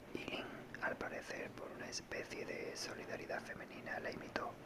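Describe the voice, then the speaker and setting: Against noticeable background noise, whispering proceeds at a fairly slow pace. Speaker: audiobook reader. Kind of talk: reading aloud.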